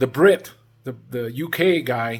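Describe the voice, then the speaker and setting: This man speaks with a fairly high pitch. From Cuba, moved to US at age 9. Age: 60s. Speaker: travel vlogger. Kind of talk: casual vlog monologue. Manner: halting, many fillers and restarts.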